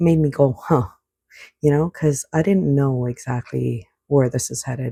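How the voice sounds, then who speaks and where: A quiet voice on a very clean recording with a silent background. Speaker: oracle card reader. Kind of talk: spiritual card reading. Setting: at home at night. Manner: quiet, indoor voice; casual, hesitant with fillers.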